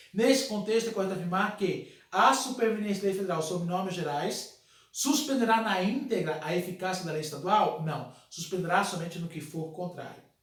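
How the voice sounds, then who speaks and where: A man with a high pitch talks with hardly any pauses and ordinary pitch variation. Noticeable background noise runs underneath. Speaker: law teacher. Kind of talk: lecture. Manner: fast.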